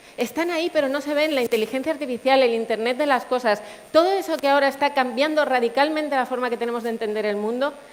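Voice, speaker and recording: Noticeable background noise accompanies a woman who speaks very fast in a high pitch with ordinary pitch variation. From Canary Islands (Puerto de la Cruz, Tenerife). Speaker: engineer, tech sales manager, conference speaker. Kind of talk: conference talk.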